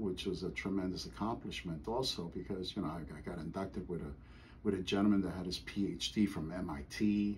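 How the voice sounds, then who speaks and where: With ordinary pitch variation, a somewhat breathy voice speaks at a fairly quick pace. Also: man, very deep, low pitch for a man. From Costa Rica. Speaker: karate grand master. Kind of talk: oral history interview answer.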